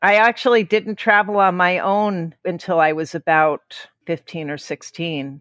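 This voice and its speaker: An unremarkable speaking voice from a woman with an American accent, fairly low in pitch with ordinary pitch variation, at a fairly slow pace with hardly any pauses, in a dry, close sound with no echo against a quiet background. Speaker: author. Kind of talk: interview.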